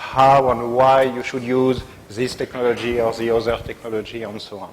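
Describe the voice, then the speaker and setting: A man with a French accent talks at a moderate pace in a medium pitch. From Brittany, northwest France. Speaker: technical evangelist. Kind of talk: tech talk to meetup audience.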